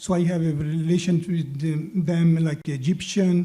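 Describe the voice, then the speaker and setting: Speaking with a non-native accent, a man with a high, dark and mellow voice talks fairly slowly in a monotone, flat intonation. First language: not English. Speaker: city council candidate. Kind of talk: candidate forum answer.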